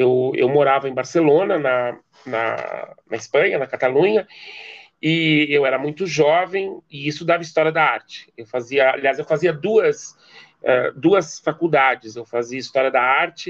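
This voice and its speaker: Delivery is on the slow side. The rise and fall of pitch is ordinary. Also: man. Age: 50s. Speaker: anthropology professor. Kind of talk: interview. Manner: hesitant with repetitions.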